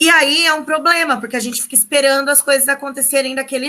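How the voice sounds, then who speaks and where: A woman's high, bright, sharp voice, raised and projected, at a very fast pace with fairly even intonation. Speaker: sociology teacher. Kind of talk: online lecture.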